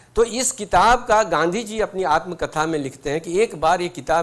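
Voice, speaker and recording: A high-pitched man's voice with a Bihari accent and very wide pitch swings. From Bhojpuri-speaking region, India. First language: Bhojpuri (speaking Hindi). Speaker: guest speaker, retired senior civil servant. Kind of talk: inspirational talk with personal anecdotes. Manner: conversational, with frequent hesitations.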